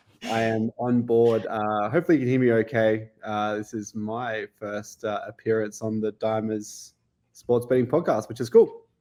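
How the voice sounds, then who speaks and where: In an Australian accent, a man speaks at a medium pitch in a dark, mellow tone with fairly even intonation. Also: moderate pace. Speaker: sports betting analytics staff. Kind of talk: casual explanation / podcast guest demo. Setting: video call from home kitchen.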